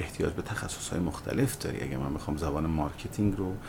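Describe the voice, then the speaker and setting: Here a man speaks with a very deep, low pitch and ordinary pitch variation. There is audible room echo along with noticeable background noise. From Iran, Malayer (Hamadan province). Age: 40s. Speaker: web entrepreneur, company founder. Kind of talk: interview.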